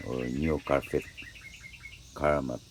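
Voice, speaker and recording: A man with a Filipino accent speaks with a very deep, low pitch. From Philippines, Visayas. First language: Bisaya (Cebuano). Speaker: upholsterer. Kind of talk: tutorial. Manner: halting.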